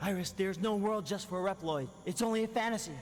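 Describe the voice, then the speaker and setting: Someone rattles off lines very fast in a put-on character voice at a middle pitch. Background noise is clearly heard. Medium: video game. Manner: intense, dramatic.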